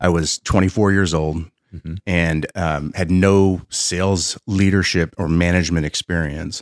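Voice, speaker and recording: A man speaks at a fairly slow pace with a very deep, low pitch. The sound is dry and close with no echo, on a very clean recording with a silent background. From Pennsylvania. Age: 50s. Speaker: business founder and innovation consultant. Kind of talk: interview storytelling. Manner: animated.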